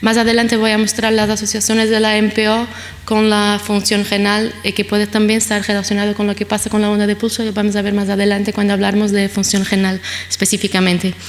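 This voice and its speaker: Over noticeable background noise, a woman with a Portuguese accent talks at a very fast pace and medium pitch in a monotone, flat intonation. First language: Portuguese (speaking Spanish). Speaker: pediatric nephrologist. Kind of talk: conference lecture. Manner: hesitant, many fillers.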